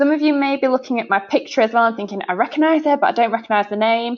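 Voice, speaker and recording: In a Yorkshire accent, a woman speaks at a very fast pace, her fairly high pitch showing ordinary variation. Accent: northern English (Yorkshire). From northern England, Sheffield, Yorkshire. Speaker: sales director. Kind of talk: webinar presentation. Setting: online webinar. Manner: hesitant, many fillers.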